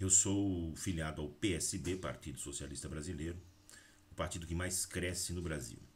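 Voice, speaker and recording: A man speaks at a very deep, low pitch with vocal fry and fairly even intonation. His pace is moderate, and the room echo is audible. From Brazil, Valinhos (São Paulo state). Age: 40s. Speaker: teacher and local politician. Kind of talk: political address to camera.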